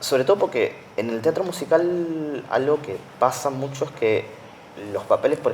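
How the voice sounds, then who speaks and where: The speaker is male. Background noise is noticeable throughout. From Argentina, Buenos Aires area. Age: 30s. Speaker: math teacher and musical theatre actor. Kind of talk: interview. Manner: halting.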